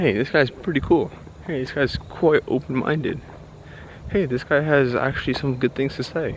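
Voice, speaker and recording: Noticeable background noise runs under a man with an American accent. His fairly high voice keeps a moderate pace with ordinary pitch variation. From United States. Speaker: vlogger. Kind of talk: casual monologue while walking. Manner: halting, self-correcting.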